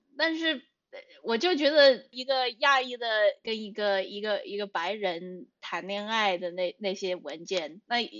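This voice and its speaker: At a fairly slow pace, a woman with a medium pitch speaks with lively intonation. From United States. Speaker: writer. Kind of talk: casual chat. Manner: halting.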